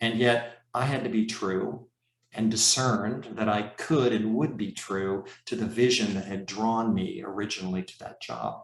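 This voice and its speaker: A man's fairly low voice with vocal fry, fairly even intonation and a moderate pace. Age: 60s. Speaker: professor and leadership coach. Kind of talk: conference talk.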